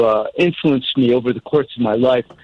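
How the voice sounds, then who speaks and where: In a normal speaking voice, a man talks at medium pitch with ordinary pitch variation, the sound dry and close with no echo. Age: 60s. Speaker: caller. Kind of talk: casual chat.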